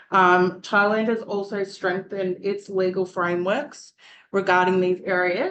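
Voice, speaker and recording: A woman with a medium pitch talks at a moderate pace, her intonation fairly even. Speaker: university student presenter. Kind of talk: student presentation.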